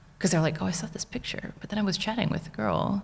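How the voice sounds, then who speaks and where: A woman talks at a very fast pace with an American accent. Noticeable background noise is present. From United States. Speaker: small business owner. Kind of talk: podcast interview. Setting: studio.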